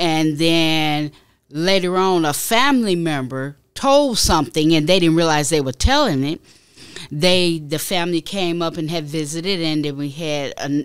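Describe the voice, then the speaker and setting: In a plain, everyday voice, a woman with an American accent speaks at a moderate pace and a fairly low pitch, with ordinary pitch variation on a very clean recording with a silent background. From Chicago. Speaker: podcast guest. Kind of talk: casual interview conversation.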